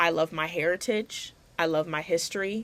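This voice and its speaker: A woman speaks in a fairly low voice. Her intonation is fairly even. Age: young. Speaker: college student. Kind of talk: class video essay to camera. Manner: casual, emphatic.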